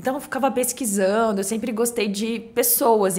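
A woman talks at a moderate pace with fairly even intonation. Her pitch is fairly high, in a plain, everyday voice. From Brazil, Cuiabá, Mato Grosso; Mato Grosso, Brazil. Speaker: real estate agency director; podcast guest. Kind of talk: casual chat. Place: studio. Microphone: studio mic.

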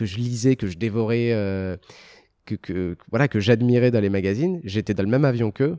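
Against a quiet background, a man with a dark, mellow tone and fairly low pitch speaks at a moderate pace with ordinary pitch variation. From Algeria. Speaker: motorcycle TV show creator and journalist; motorcycle TV show creator, journalist. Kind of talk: casual interview. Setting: luxury car dealership. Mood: relaxed, animated storytelling. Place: office. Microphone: handheld.

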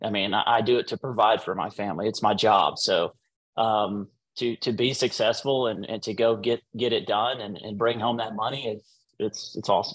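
Delivered at a moderate pace with fairly even intonation, the speech sits against a quiet background. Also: man, medium pitch for a man. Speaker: professional bass angler; interview guest. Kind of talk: casual interview. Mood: modest, pleased. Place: home room. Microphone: video call.

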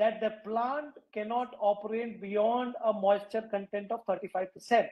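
A man at a high pitch and a very slow pace against a quiet background. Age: 50s. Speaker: waste management entrepreneur; guest. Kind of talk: interview. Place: home room. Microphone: video call.

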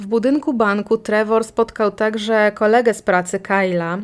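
An ordinary speaking voice, a woman's fairly high one, moves at a moderate pace with fairly even intonation on a very clean recording with a silent background. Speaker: podcast host, true crime narrator. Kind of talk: true-crime narration, scripted-style storytelling. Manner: even, measured, matter-of-fact; informal, conversational asides.

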